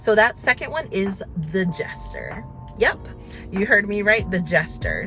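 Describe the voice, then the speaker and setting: Over music in the background, a woman speaks in an upbeat, energetic tone. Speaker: mom vlogger. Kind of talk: casual talk to camera while driving. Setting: in a car. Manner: upbeat, energetic, chatty.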